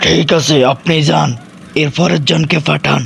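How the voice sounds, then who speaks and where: Putting on a character voice, a man speaks raspy and fairly high at a fairly slow pace over clear background noise. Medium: cartoon. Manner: formal, authoritative.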